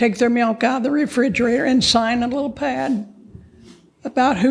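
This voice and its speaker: A woman with an American accent speaks in a high voice at a moderate pace. Her intonation stays fairly even. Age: 90s. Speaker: ranch woman, panelist. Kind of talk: panel discussion storytelling.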